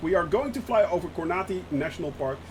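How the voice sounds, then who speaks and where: An animated voice comes with a Dutch accent. Noticeable background noise is present. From Netherlands. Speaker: gaming streamer. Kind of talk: live stream commentary. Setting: live stream. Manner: frequent hesitations.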